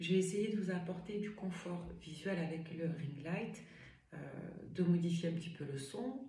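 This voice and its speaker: A woman's fairly slow speech in a room with audible echo. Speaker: medium and tarot reader. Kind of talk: tarot reading livestream. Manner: animated.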